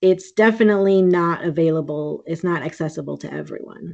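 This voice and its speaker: A woman with a normal speaking voice talks at a moderate pace and medium pitch. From US Midwest, Green Bay, Wisconsin. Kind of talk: casual interview.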